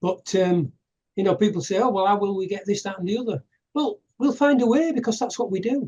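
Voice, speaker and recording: With an English accent, a man speaks at a high pitch and a fairly quick pace. His intonation is lively. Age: 60s. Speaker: activist giving presentations. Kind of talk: casual interview chat. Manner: halting.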